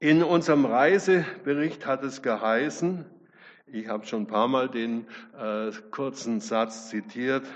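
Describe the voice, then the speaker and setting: A man's medium-pitched voice at a very slow pace. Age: 70s. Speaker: guest preacher. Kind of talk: sermon.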